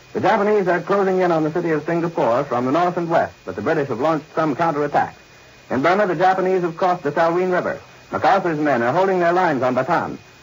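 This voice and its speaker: Noticeable background noise sits behind a man's high voice. He talks very fast with ordinary pitch variation. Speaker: radio news announcer. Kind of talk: 1940s radio newscast anchor. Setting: vintage 1942 broadcast recording, shortwave.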